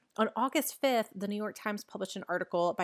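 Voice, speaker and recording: On a very clean recording with a silent background, a woman speaks at a fairly quick pace in an ordinary speaking voice at a medium pitch. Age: 30s. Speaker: personal finance podcaster. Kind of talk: scripted solo podcast commentary.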